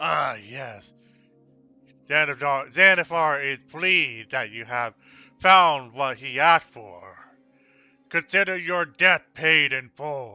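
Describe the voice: A man uses a put-on character voice, fairly high in pitch, at a slow pace with lively intonation. His tone is bright, sharp, clear and smooth, with faint music in the background.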